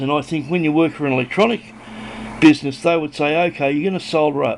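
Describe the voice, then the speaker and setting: Over noticeable background noise, a man talks with a fairly high pitch. His pitch variation is ordinary. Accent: Australian. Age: 60s. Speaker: hobbyist electronics builder. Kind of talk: casual show-and-tell video. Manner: rambling, hesitant with fillers.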